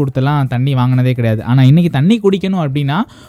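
A dark, mellow tone with lively intonation. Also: man. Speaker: community radio host. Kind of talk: radio show presenting.

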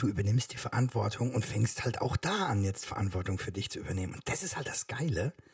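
A man talks very fast at a medium pitch with hardly any pauses. His intonation is lively, and noticeable background noise can be heard. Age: 40s. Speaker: podcast co-host, father. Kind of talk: casual chat.

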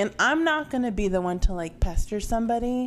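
Her pitch is fairly high, and a woman talks at a fairly quick pace in an ordinary speaking voice. Her pitch moves with ordinary variation. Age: 20s. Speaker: podcast co-host. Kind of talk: casual chat.

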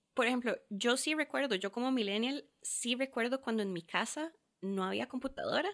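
At a moderate pace, a woman speaks with a high pitch and ordinary pitch variation in a very clean recording against a silent background. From Costa Rica, Curridabat. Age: 20s. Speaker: lawyer. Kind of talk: casual chat.

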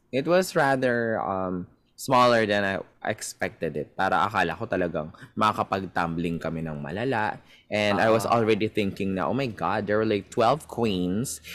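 A plain, everyday voice moves at a moderate pace with lively intonation in a very clean recording with a silent background. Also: man, fairly low pitch for a man. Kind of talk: interview.

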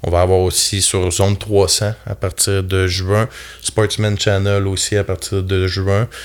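Speaking very slowly, a man uses a fairly low pitch and a monotone, flat intonation. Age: 30s. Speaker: carpenter foreman and outdoor TV show host. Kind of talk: casual chat.

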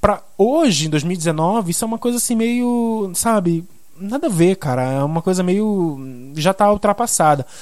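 A man speaks with a high pitch at a moderate pace. His intonation is lively. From Belém do Pará, northern Brazil. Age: 20s. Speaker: journalist and podcast host. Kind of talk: solo podcast monologue. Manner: casual, many filler hesitations.

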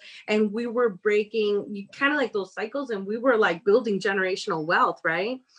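A woman talks at a moderate pace with hardly any pauses, in an unremarkable speaking voice. Her pitch is fairly high, with ordinary variation. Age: young. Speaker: domestic violence agency director. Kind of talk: casual interview.

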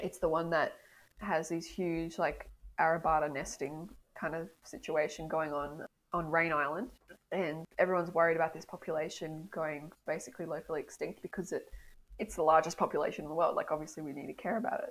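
This woman talks at a fairly quick pace with an Australian accent and fairly even intonation. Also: fairly low pitch for a woman. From Australia, northern New South Wales. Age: 20s. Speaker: PhD student, marine scientist. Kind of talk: casual interview.

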